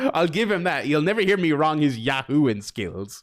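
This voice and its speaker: A man's voice sits fairly high. It swings very widely in pitch. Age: 30s. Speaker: streamer. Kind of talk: casual chat. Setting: live stream. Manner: halting.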